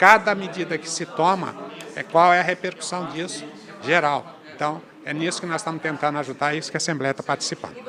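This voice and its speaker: A man with a fairly high pitch, fairly even intonation and a fairly quick pace, against noticeable background noise. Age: 60s. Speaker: state legislator. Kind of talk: interview.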